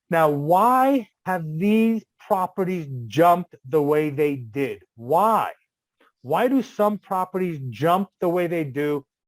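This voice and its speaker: A man speaks at a high pitch with lively intonation. The sound is dry and close, with no echo. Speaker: real estate investor. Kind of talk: seminar talk. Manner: fast; animated.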